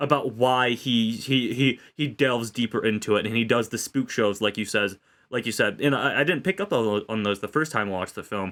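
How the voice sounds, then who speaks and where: With a normal speaking voice at medium pitch, a man talks at a fairly quick pace and ordinary pitch variation. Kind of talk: casual film review discussion.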